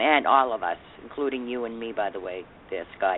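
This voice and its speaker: With noticeable background noise behind her, a woman talks at a fairly quick pace in a Boston accent. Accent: thick Boston. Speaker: radio talk show host. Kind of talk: reading a news article aloud; casual talk show chat. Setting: studio.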